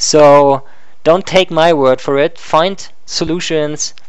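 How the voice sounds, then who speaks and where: The speaker has a German accent, and there is noticeable background noise. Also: man. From Germany. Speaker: live streamer. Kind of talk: live stream monologue. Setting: live stream with animated puppet avatar. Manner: casual, some hesitations.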